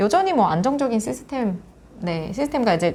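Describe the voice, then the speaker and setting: Lively intonation runs through this woman's dark, mellow tone. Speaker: education support center director. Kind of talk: interview. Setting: after a forum.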